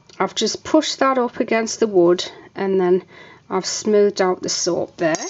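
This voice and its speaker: The pitch varies in an ordinary way while noticeable background noise runs behind the speech. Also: woman, medium pitch for a woman, moderate pace. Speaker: soap maker. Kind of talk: tutorial. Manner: casual, hesitant.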